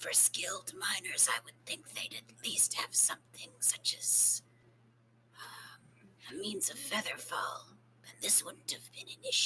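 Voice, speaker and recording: A woman whispering in a put-on character voice at a moderate pace, with big swings in loudness and long, frequent pauses. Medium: actual play. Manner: measured, formal, introspective.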